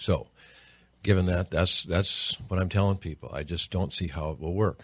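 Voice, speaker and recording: In a very clean recording with a silent background, a man with a very deep, low pitch speaks at a moderate pace with fairly even intonation. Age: 60s. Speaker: state senator. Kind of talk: radio interview.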